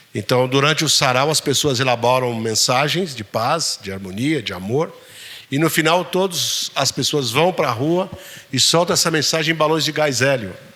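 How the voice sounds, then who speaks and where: Amid noticeable background noise, a man with a fairly high pitch talks at a moderate pace with lively intonation. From São Paulo city, south zone periphery. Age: 60s. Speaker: poet. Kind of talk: Q&A talk with audience.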